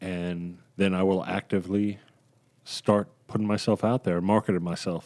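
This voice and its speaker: On a very clean recording with a silent background, a man speaks at a fairly low pitch. He goes at a fairly slow pace. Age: 40s. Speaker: podcast co-host, voiceover actor. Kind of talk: casual chat. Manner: animated.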